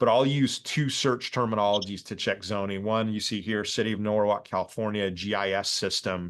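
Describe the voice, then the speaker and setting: Against a quiet background, a man with a fairly low pitch and fairly even intonation speaks at a fairly quick pace with hardly any pauses. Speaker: real estate developer teaching a course. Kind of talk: lecture on a video call. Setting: video call. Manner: fast.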